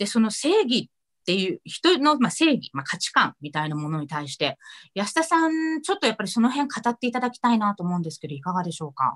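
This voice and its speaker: Against a quiet background, a woman talks at a very fast pace in a fairly high pitch. Her voice makes very wide pitch swings and big swings in loudness. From Nagano, Japan. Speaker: moderator and city councillor; online talk host, presenter. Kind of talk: casual moderated discussion. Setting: video call from home. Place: home room. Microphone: video call.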